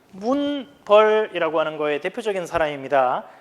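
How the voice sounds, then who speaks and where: The speaker has a strong Gyeongsang accent and talks at a moderate pace with lively intonation. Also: man. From Gyeongsang region, South Korea. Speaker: high school history teacher. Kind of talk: lecture. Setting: recorded video lesson. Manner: casual, conversational.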